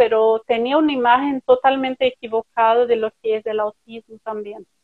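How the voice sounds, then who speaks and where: A woman's fairly high voice with a Portuguese accent and fairly even intonation. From Brazil. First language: Portuguese (speaking Spanish). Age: 30s. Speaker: writer. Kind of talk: interview. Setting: live stream.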